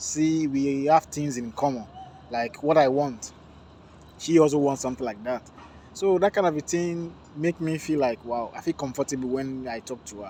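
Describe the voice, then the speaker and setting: A dark, mellow tone in a Nigerian accent, with ordinary pitch variation at a moderate pace. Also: man. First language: Yoruba. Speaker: vlogger. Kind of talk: casual vlog talk to camera.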